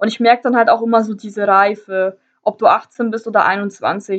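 A woman speaks in a normal speaking voice. Her pitch is fairly high and her pace is moderate. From northern Germany. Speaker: travel podcaster. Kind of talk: personal storytelling monologue.

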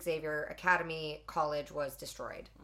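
In a Canadian accent, a woman speaks at a moderate pace with fairly even intonation and an unremarkable speaking voice. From Alberta, Canada. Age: 20s. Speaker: podcast co-host. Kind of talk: reading aloud. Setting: hot room.

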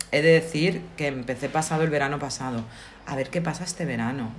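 A woman's very deep, low voice at a fairly quick pace, with noticeable background noise. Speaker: podcast co-host. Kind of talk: casual chat.

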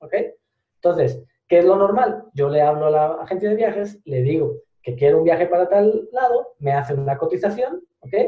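With lively intonation and a high pitch for a man, he speaks at a moderate pace. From Spain. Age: 20s. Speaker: digital marketing entrepreneur. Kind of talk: podcast interview.

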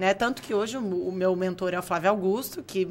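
A woman with a medium-pitched voice talks at a fairly quick pace, using ordinary pitch variation. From Brazil, Franca (São Paulo state). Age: 30s. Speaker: entrepreneur and investor. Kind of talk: interview. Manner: halting.

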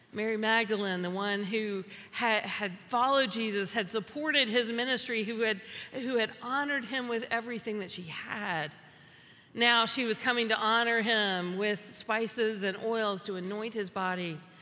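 A woman's fairly high voice with ordinary pitch variation and a moderate pace, plus audible room echo. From US South. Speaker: pastor. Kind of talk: sermon.

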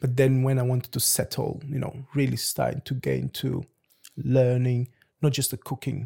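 A man's dark, mellow, somewhat breathy voice at medium pitch and moderate pace, dry and close with no echo. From Lisbon, Portugal (born in Angola). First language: Portuguese. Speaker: head chef. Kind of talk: casual interview chat.

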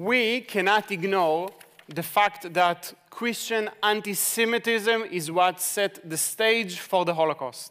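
A man with an Israeli accent speaks high for a man, with ordinary pitch variation. His pace is very slow. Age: 40s. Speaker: ministry leader. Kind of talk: sermon. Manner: halting.

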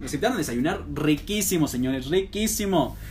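Over noticeable background noise, a man talks at a fairly quick pace and fairly high pitch, with very wide pitch swings. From Mexico, Aguascalientes. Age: 20s. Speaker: university student podcaster. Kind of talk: personal monologue. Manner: slurs some words; hesitant, many fillers.

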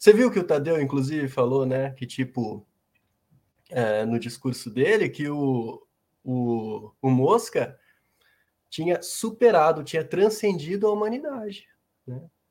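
Pitching fairly high, a man speaks at a fairly slow pace with very wide pitch swings, big swings in loudness, and long, frequent pauses. The recording is very clean and the background silent. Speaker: show commentator. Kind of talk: casual chat.

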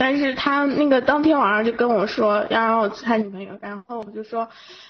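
Speaking at a moderate pace, a woman uses a fairly high pitch and lively intonation, her voice somewhat breathy. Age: 20s. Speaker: listener caller. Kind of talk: casual chat.

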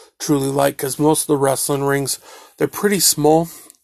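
This is a man speaking. His pitch is fairly high. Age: 30s. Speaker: podcast host. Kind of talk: solo casual monologue.

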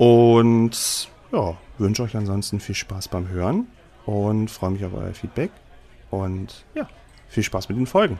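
A man with a fairly low pitch and dark, mellow tone, fairly even intonation, a very slow pace and long, frequent pauses. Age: 30s. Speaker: podcast host and game master. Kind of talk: casual podcast intro monologue. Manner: casual with filler words.

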